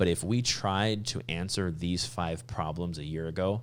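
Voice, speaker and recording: A man's very deep, low voice carries vocal fry and an animated tone, with lively intonation. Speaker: veterinary podcast host. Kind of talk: casual chat. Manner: fast.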